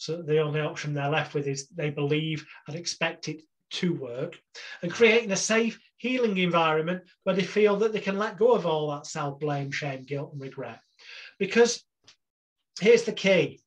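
Moderate pace with an English accent. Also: man, fairly high pitch for a man, lively intonation. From England. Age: 40s. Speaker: hypnotherapist. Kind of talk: interview.

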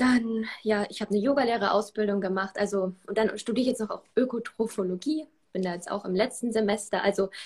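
A woman talks at a moderate pace in a fairly high pitch. Her voice is somewhat breathy, with ordinary pitch variation. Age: 20s. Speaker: self-love coach and former swimmer. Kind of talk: interview.

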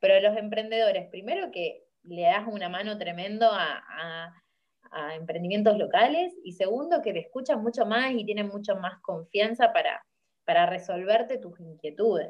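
A woman at a medium pitch speaks at a moderate pace, her pitch swinging very widely and her loudness rising and falling sharply. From Argentina, Rosario. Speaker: environmental activist and engineering student. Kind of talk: interview. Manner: hesitant, with many fillers and repetitions.

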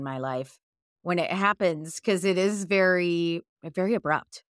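Lively intonation in a woman's unremarkable speaking voice, fairly low in pitch and fairly slow. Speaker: podcast host and coaching client. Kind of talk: casual conversational interview. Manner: warm, affirming, chatty.

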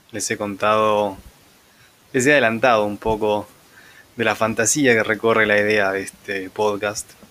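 Fairly slow speech from a man whose pitch sits fairly low. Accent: Rioplatense. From Argentina, Buenos Aires conurbano. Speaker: podcast host. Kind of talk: improvised solo monologue. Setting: home next to railway tracks.

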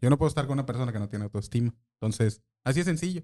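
The speaker is a man with a medium-pitched voice. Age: 40s. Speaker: social media marketer. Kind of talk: casual chat.

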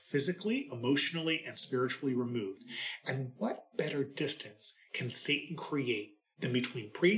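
The passage is read aloud in a natural voice.

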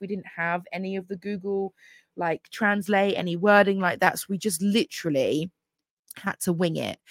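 Recorded very cleanly against a silent background, a woman with an English accent sounds dry and close with no echo. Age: 30s. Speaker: podcast host. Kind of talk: casual monologue. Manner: chatty, many fillers.

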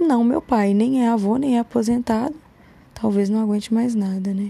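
A moderate pace with ordinary pitch variation. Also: woman. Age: 30s. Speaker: podcaster. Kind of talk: casual monologue.

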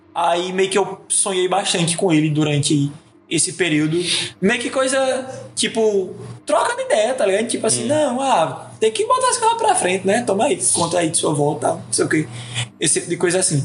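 Speaking at a moderate pace, a man with a high pitch uses lively intonation over noticeable background noise. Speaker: podcast guest. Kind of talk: casual chat.

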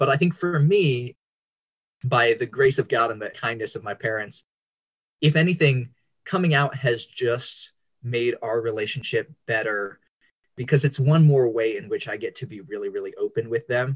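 Somewhat breathy and at a medium pitch, a man with an American accent talks in a dry, close sound with no echo. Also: ordinary pitch variation, moderate pace. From Indonesia (Java, Bandung), American family. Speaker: author and worship leader. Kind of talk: interview, personal testimony.

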